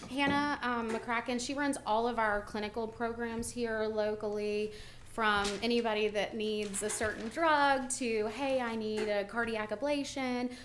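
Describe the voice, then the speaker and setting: A woman's fairly high voice, fairly even in intonation with hardly any pauses, amid noticeable background noise and audible room echo. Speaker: benefits consultant. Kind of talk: presentation to county court. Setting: county courthouse meeting. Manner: loud.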